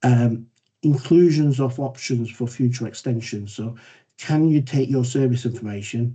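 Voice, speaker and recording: A somewhat breathy voice with a dark, mellow tone. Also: man. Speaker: council data manager presenting. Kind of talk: presentation in online meeting. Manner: fast.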